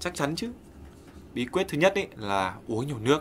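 With a bright, sharp tone and lively intonation, a man talks at a fairly quick pace in a medium pitch over light background noise. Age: 20s. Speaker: hip hop artist and actor; actor. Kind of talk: casual chat. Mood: relaxed, playful. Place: studio.

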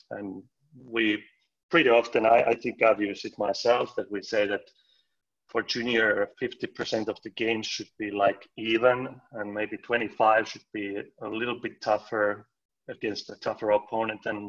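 In a Finnish accent, a man speaks at a fairly slow pace with monotone, flat intonation against a quiet background. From Finland. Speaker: floorball coach. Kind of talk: casual chat. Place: home room. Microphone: video call.

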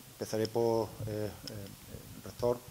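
A man over noticeable background noise. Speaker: engineering school director. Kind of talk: formal speech at agreement signing. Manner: halting, with many fillers.

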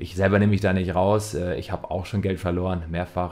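A man speaks at a very fast pace. His very deep, low voice has a dark, mellow tone. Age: 30s. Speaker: trading educator. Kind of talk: scripted narration. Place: home room. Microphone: studio mic.

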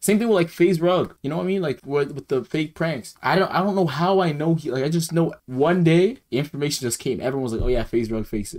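A man talking at a very fast pace, lively intonation, quiet background. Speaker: reaction streamer. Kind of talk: casual commentary. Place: home room. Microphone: headset.

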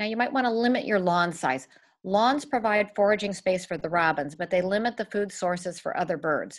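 Against a quiet background, a woman speaks with lively intonation at a moderate pace. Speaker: presenter. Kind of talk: lecture. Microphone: webcam.

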